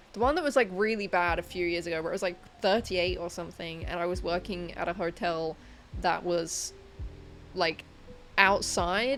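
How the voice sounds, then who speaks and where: With a British accent, a woman with a fairly low pitch talks at a moderate pace, using ordinary pitch variation and long, frequent pauses. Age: 20s. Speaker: livestreamer. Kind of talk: casual chat. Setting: bedroom livestream.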